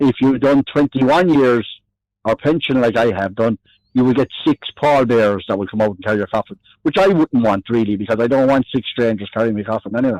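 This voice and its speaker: In an Irish accent, a man speaks at a fairly quick pace and medium pitch with ordinary pitch variation, in a dry, close sound with no echo. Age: 60s. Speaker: army veteran. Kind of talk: phone interview. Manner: halting. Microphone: delay on the line.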